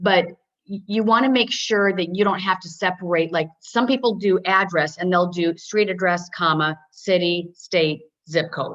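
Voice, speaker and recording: A woman talks with a medium pitch. The variation in her pitch is ordinary. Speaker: software trainer. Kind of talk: webinar tutorial. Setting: webinar. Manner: fast.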